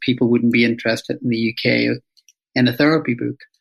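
A man with a Northern Irish accent talks very fast at a medium pitch in a monotone, flat intonation. The sound is dry and close with no echo. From Northern Ireland, Belfast. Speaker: psychotherapist and author. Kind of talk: interview.

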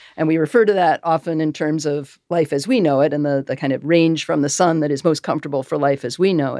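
A woman's very deep, low, dark and mellow voice in an American accent, very fast in pace over a quiet background. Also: ordinary pitch variation, hardly any pauses, dry, close sound with no echo. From US Northeast, Massachusetts. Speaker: planetary scientist. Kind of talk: interview.

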